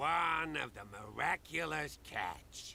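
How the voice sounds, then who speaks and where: A man uses a raspy, put-on character voice and speaks fairly slowly. There is clear background noise. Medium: video game.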